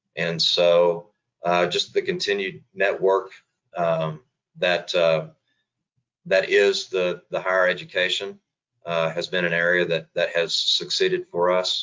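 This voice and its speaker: At a fairly slow pace, a man talks with long, frequent pauses. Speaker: insurance agency president. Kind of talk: interview.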